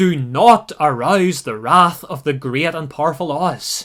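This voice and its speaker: A man's put-on character voice, fairly high and booming, shouting at a fairly slow pace. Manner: shouting, commanding.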